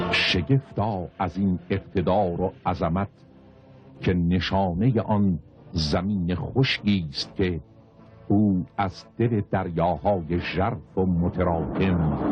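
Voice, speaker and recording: Over music in the background, a man talks at a very slow pace in a very deep, low pitch with ordinary pitch variation. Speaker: narrator. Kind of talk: religious literary reading.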